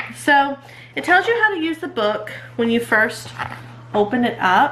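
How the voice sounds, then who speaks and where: Noticeable background noise fills the recording. A woman speaks at a moderate pace. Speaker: homeschooling mom and channel host. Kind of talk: casual show-and-tell vlog. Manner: casual with many fillers.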